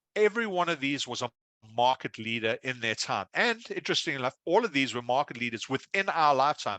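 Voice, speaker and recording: Against a quiet background, a man with an Australian accent talks at a medium pitch with very wide swings, his tone bright and sharp and the sound dry and close without echo. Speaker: risk consultant, keynote speaker. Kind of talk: keynote speech. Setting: conference stage with audience. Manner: fast.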